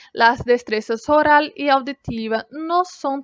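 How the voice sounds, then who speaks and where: Very slowly, a woman speaks in a Brazilian accent with ordinary pitch variation. The sound is dry and close, with no echo. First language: Brazilian Portuguese (speaking Spanish). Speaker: language student. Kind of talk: class presentation.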